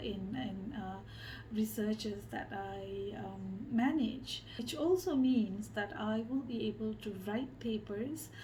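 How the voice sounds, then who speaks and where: Audible room echo surrounds the voice. The delivery is very slow. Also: woman. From Malaysia. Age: 30s. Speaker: social researcher and designer. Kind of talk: interview monologue. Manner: hesitant, many fillers.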